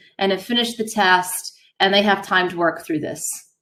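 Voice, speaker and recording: Audible room echo around a woman's voice, her pitch varying in an ordinary way. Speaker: high school math teacher. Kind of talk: classroom lecture.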